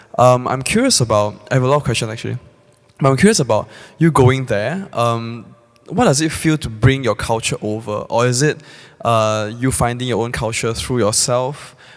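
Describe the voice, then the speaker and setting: A man talks at a moderate pace, his medium pitch showing ordinary variation. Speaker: audience member. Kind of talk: audience question. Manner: halting.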